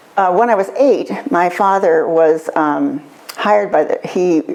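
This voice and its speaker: A woman with an American accent talks while noticeable background noise is present. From Seattle area, Washington. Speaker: longtime local community figure. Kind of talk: interview.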